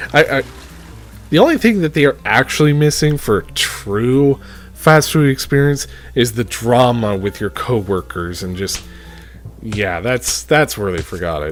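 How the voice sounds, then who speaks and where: Over noticeable background noise, a man with a medium-pitched voice talks in very wide pitch swings. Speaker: game reviewer. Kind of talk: game review talk.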